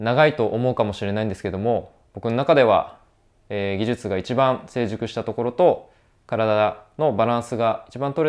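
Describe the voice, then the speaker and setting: A man at medium pitch and a moderate pace, with ordinary pitch variation, over a quiet background. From Hokkaido, Sapporo; Hokkaido, Japan. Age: 30s. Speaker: professional skier. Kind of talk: self-introduction to camera; personal statement to camera. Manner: hesitant with frequent fillers. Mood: earnest, determined. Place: home room. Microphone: lapel.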